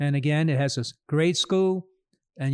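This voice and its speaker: Recorded very clean with a silent background and a dry, close sound with no echo, a man with an American accent and a plain, everyday voice speaks at a fairly high pitch and moderate pace. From New York, Queens. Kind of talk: casual interview. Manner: laughs often.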